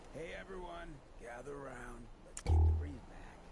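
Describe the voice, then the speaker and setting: Over loud background noise, a man does a raspy put-on character voice at a moderate pace, medium in pitch but swinging very widely. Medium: video game. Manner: laid-back, smooth, charismatic.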